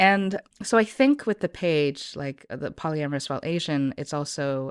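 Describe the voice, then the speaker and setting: A woman with an American accent speaks at a moderate pace in a very deep, low pitch and a lively intonation. The recording is very clean with a silent background and a dry, close sound with no echo. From US Pacific Northwest, Portland area. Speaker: podcast guest. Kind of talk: casual interview chat.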